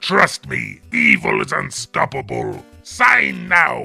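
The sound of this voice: Over faint background music, a man uses a raspy, very deep put-on character voice and speaks at a very slow pace.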